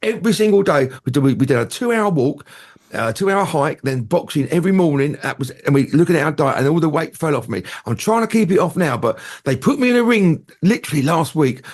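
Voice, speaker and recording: In a southern English accent, a man talks very fast at a fairly high pitch. His tone is animated, with very wide pitch swings. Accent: southern English, London-area. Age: 60s. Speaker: entertainer and radio presenter. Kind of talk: casual chat.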